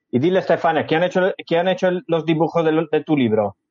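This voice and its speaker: A man talks with an Italian accent. His pace is fairly quick. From Sardinia, Italy. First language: Sardinian/Italian (speaking Spanish). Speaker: cultural association representative. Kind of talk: interview.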